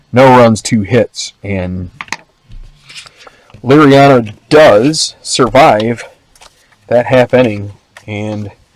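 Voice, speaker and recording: A man speaks at a very slow pace with long, frequent pauses. His medium pitch has ordinary variation. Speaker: tabletop baseball game host. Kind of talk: tabletop game play-by-play commentary.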